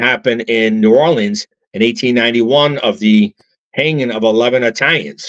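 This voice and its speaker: In a plain, everyday voice, a man with an American accent talks at a moderate pace and medium pitch over a quiet background. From upstate New York. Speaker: actor and filmmaker; actor. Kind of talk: interview. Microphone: video call.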